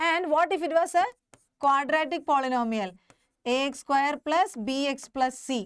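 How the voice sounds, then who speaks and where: This woman's voice sits high and moves through ordinary pitch changes at a moderate pace. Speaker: teacher. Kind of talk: live online class lecture.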